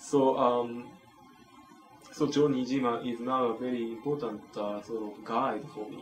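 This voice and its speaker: With a Japanese accent, a man speaks at a medium pitch and a fairly slow pace, his intonation fairly even but his loudness swinging widely, with long, frequent pauses, audible room echo and music in the background. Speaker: professor. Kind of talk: interview. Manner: halting.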